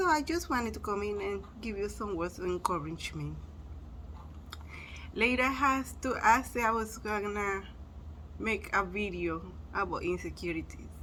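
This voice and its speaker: The speaker, with a Spanish accent, leaves long, frequent pauses. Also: moderate pace. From Spanish-speaking country. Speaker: motivational vlogger. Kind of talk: motivational talk. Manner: casual, conversational.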